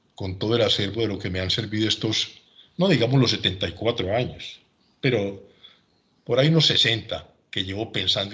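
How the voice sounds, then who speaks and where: A man's fairly low-pitched voice with a bright, sharp tone, ordinary pitch variation and a fairly quick pace, against a quiet background. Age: 70s. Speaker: retired civil engineer, lecturer. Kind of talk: lecture.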